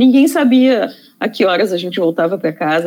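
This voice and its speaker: Her pace fairly quick, a woman speaks with lively intonation. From Rio Grande do Sul, Brazil (Taquari). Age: 50s. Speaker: psychologist and feminist activist. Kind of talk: interview conversation. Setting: studio. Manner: halting, many repetitions and fillers.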